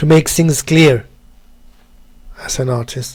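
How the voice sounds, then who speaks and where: Somewhat breathy, a man speaks with a German accent. His intonation is fairly even and his pace very slow. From Germany. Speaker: 3D artist and tutorial maker. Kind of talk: tutorial. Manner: halting, with many repetitions.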